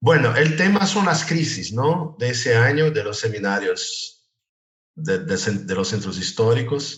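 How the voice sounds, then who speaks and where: With a Brazilian accent, a man speaks at a medium pitch and a fairly slow pace, his pitch swinging very widely. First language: Portuguese (speaking Spanish). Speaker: architecture professor. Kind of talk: lecture.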